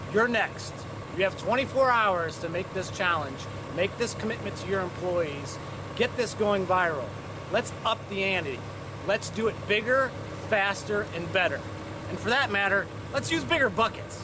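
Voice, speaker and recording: Over noticeable background noise, a man speaks at a moderate pace with long, frequent pauses. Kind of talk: charity challenge appeal to camera. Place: street.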